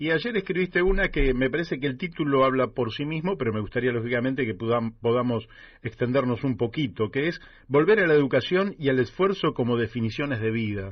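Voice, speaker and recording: Speaking quickly in a plain, everyday voice, a man keeps a medium pitch and lively intonation. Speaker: radio host. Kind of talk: radio interview.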